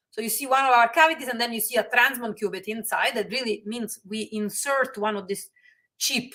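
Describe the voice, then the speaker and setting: With a bright, sharp tone and ordinary pitch variation, this voice moves at a fairly quick pace. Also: woman. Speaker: physicist, research center director. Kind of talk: lecture. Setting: webinar. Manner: fast; halting, many fillers.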